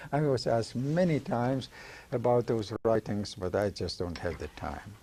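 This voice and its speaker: At a moderate pace, a man speaks at medium pitch with a dark, mellow tone, somewhat breathy, with lively intonation. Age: 80s+. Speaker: veteran actor and director. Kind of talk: interview.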